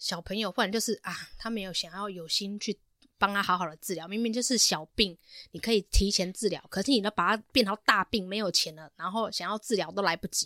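A woman talks at a fairly quick pace with a medium pitch, ordinary pitch variation and a bright, sharp tone, recorded very cleanly against a silent background with a dry, close sound and no echo. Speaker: podcast host. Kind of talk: casual chat.

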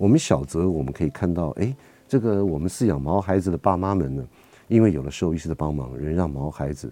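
A man's very deep, low voice, dark and mellow in tone, with lively intonation and a fairly quick pace. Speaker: veterinarian and radio host. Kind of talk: radio talk show.

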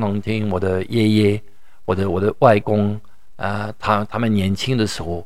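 A man is speaking here. His pitch is fairly low and his pace moderate. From France. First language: French (speaking Chinese). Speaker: professor and wine educator. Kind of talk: interview. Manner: halting, with frequent repetitions.

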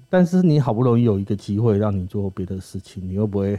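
Over music in the background, a man with a fairly low pitch speaks at a moderate pace with ordinary pitch variation. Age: 30s. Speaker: former crematorium worker and author. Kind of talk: casual interview chat.

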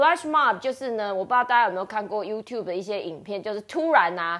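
A woman speaks with a Chinese accent at a medium pitch. Her tone is animated. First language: Mandarin Chinese. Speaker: English teacher and podcast host. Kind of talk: casual bilingual chat about a picture book. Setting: live online audio room.

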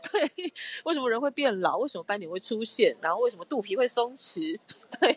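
Fairly quick delivery, very wide pitch swings, and noticeable background noise. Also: woman, high pitch for a woman. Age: 30s. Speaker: skincare brand founder. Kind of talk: interview conversation.

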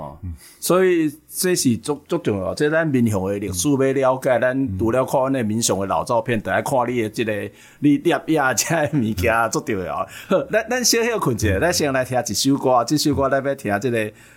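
An unremarkable speaking voice from a man, medium in pitch, at a moderate pace with lively intonation. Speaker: radio and podcast host. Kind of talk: interview in Taiwanese Hokkien.

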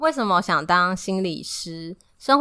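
A woman's fairly low voice with a bright, sharp tone at a fairly slow pace, on a very clean recording with a silent background. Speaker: podcast co-host. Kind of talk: casual chat.

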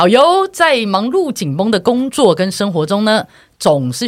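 Fairly slow speech, a very clean recording, and a silent background. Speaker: podcast co-host. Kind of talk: casual chat.

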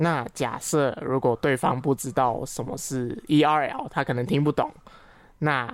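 Fairly slow and fairly even in intonation, this woman speaks with a very deep, low pitch. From Malaysia. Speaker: Malay language teacher. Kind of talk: casual chat.

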